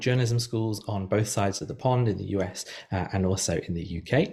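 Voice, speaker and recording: A somewhat breathy man speaks with ordinary pitch variation. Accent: British. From United Kingdom. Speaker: journalism professor. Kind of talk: lecture. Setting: video call. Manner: hesitant, many fillers.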